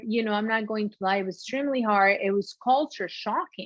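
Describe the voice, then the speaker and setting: With a Peruvian accent, a woman speaks at a moderate pace and fairly high pitch, using ordinary pitch variation. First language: Spanish. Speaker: shoe designer, former sports anchor. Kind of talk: interview conversation.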